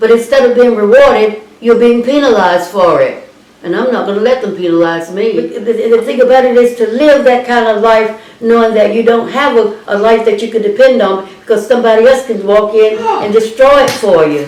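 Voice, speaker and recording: A woman's fairly high, fairly quick voice with ordinary pitch variation amid noticeable background noise. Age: 80s+. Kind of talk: interview answer. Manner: angry.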